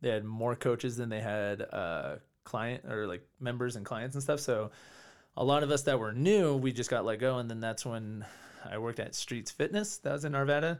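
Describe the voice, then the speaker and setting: An ordinary speaking voice from a man with an American accent, medium in pitch with ordinary pitch variation, at a moderate pace, on a very clean recording with a silent background. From California. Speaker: martial arts and fitness coach. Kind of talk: casual interview chat.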